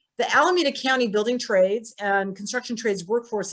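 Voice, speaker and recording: A woman with a fairly high pitch rattles along at a very fast pace, her pitch varying in an ordinary way. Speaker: city council member. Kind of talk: prepared policy presentation.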